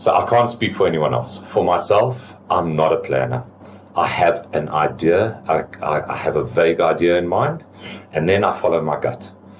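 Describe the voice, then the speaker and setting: A man speaks in a very deep, low pitch at a moderate pace, his intonation lively. Noticeable background noise runs underneath. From South Africa, moved from French-speaking country at eleven. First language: French. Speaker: business owner. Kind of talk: interview. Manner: repeats words, hesitant restarts.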